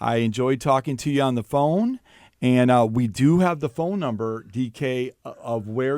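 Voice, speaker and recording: A man speaks at a moderate pace with a medium pitch and ordinary pitch variation in a plain, everyday voice, on a very clean recording with a silent background. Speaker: teacher and podcast host. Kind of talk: casual chat.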